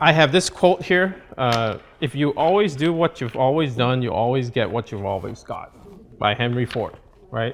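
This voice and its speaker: A man with a Malaysian accent speaks at medium pitch and a moderate pace, his intonation lively. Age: 30s. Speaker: real estate coach. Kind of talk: seminar talk. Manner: casual, halting.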